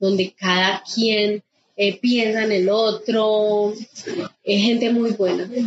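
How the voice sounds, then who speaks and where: A woman speaks in an unremarkable speaking voice, fairly high in pitch and with fairly even intonation. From Colombia, Quindío (Pijao). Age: 40s. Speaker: nature guide and birdwatcher. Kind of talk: interview testimony.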